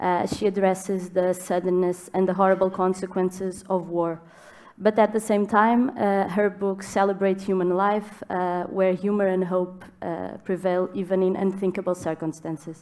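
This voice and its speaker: In a Portuguese accent, a woman speaks at a moderate pace. Her intonation is monotone and flat. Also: medium pitch for a woman. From Portugal. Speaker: writer, moderator. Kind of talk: panel conversation. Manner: halting, many fillers.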